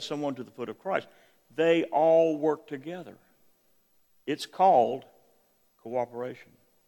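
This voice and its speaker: Fairly high pitch marks this man's voice. He keeps to a moderate pace. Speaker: visiting preacher. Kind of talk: sermon. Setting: church.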